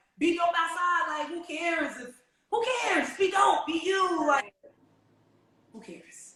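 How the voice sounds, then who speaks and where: In a raised, projected voice of extremely high pitch and a bright, sharp tone, a woman speaks fairly slowly with ordinary pitch variation, big swings in loudness and long, frequent pauses. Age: 30s. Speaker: podcast host. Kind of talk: casual chat. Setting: video recording.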